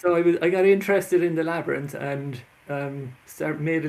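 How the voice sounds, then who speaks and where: An Irish accent with fairly even intonation. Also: man. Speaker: author and labyrinth workshop leader. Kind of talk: interview. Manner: halting.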